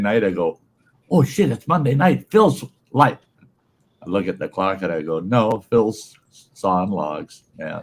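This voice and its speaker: A man speaks at a moderate pace. His pauses are long and frequent. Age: 60s. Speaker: regular viewer and stream guest, cancer survivor. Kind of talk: casual chat.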